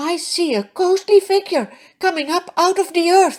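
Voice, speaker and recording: At a moderate pace, a female-sounding, put-on character voice comes out squeaky and extremely high-pitched. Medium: read story. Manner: fearful.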